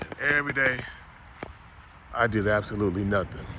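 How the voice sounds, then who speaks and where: A man's lively intonation comes at a fairly quick pace while noticeable background noise plays underneath. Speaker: former Olympic bobsledder and CTE advocate. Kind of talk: personal video monologue. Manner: halting, repetitive.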